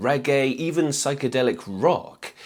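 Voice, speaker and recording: A man speaks at a fairly slow pace and medium pitch in an ordinary speaking voice, on a very clean recording with a silent background. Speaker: music history youtuber. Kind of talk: scripted narration.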